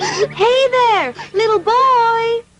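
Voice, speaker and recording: In a put-on character voice, a woman squeaks at an extremely high pitch with fairly even intonation while faint music plays in the background. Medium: cartoon. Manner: gentle, friendly.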